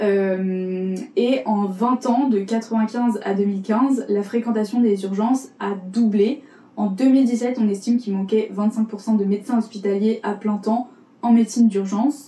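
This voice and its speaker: Over noticeable background noise, a woman with a Parisian accent speaks at a fairly high pitch with fairly even intonation. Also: moderate pace. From Paris, France. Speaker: podcast columnist. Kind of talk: podcast segment presenting facts. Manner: casual, hesitant with fillers.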